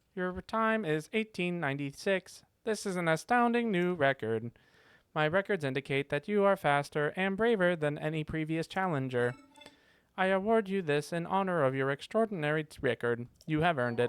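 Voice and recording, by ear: A man puts on a robotic character voice pitched high. He talks at a moderate pace.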